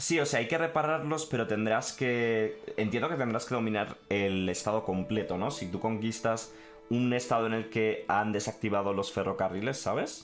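Faint music plays in the background while the speaker talks at a moderate pace with ordinary pitch variation. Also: man. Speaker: gaming streamer. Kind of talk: live stream commentary, reading and translating a text.

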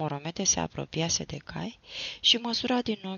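Lively intonation marks this unforced reading voice from start to finish.

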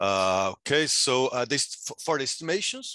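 With a quiet background and dry sound with no echo, a man talks in a bright, sharp tone with lively intonation. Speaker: economics graduate student and session moderator. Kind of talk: academic conference presentation. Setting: video call. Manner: halting, many filler words. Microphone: video call.

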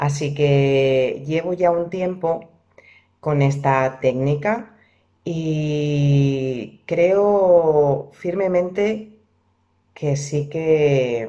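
Against a quiet background, a woman with a very deep, low pitch and a dark, mellow tone speaks at a very slow pace with ordinary pitch variation. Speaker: vlogger. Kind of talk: casual vlog chat. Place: home room. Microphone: phone near.

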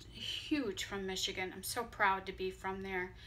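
Fairly slow and fairly even in intonation, a woman talks. Light background noise runs underneath. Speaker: vlogger. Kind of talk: casual vlog chat. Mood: warm, slightly emotional tribute. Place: home room. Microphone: phone near.

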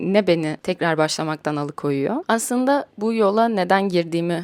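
At a moderate pace, a woman with a medium pitch makes very wide pitch swings in a dry, close sound with no echo. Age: 20s. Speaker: podcaster and playwright. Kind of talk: personal monologue.

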